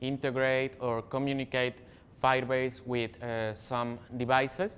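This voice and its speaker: The man speaks at a medium pitch with fairly even intonation. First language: not English. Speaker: software developer, tech speaker. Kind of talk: technical talk. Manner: halting, many fillers.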